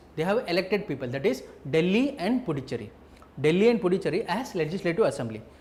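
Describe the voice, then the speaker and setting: The pitch swings very widely, and audible room echo surrounds the voice. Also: man. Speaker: teacher. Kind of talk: lecture. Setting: live online class.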